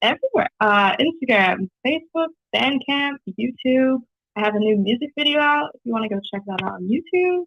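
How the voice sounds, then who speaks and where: A woman speaks at a high pitch and moderate pace with lively intonation. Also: big swings in loudness. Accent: slight Canadian. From New Zealand, Whangaparaoa; Canada until age 8. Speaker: singer-songwriter. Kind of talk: casual radio interview. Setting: phone call.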